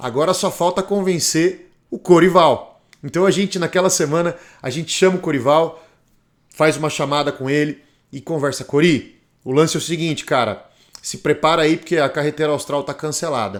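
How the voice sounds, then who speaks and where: A man's unremarkable speaking voice, fairly high, with ordinary pitch variation at a moderate pace on a very clean recording with a silent background. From Brazil. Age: 40s. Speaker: motorcycle travel vlogger. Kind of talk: documentary narration.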